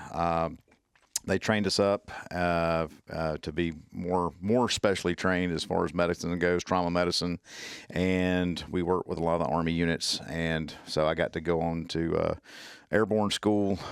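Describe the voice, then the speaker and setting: In a strong Southern US accent, a man speaks at a moderate pace with a very deep, low pitch and monotone, flat intonation, on a very clean recording with a silent background. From US South, Mississippi. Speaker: tactical medicine instructor, former military medic. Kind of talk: casual interview chat. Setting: podcast. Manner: halting, many fillers.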